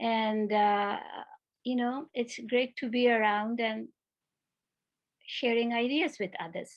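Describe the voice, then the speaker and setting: A woman's fairly high voice at a very slow pace, fairly even in intonation, broken by long, frequent pauses. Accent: Bengali. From India, Kolkata. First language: Bengali. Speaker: retired education professor. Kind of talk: conference talk.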